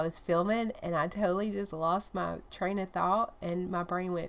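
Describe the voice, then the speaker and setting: A woman with a Southern US accent, fairly even intonation and a moderate pace. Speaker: collage artist. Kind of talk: casual talk to camera. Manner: soft-spoken.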